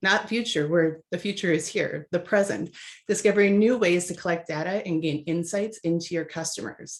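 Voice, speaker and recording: In an upbeat tone, a woman with a slight Minnesota accent speaks at a fairly low pitch and moderate pace with ordinary pitch variation against a quiet background. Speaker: webinar moderator. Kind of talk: webinar introduction.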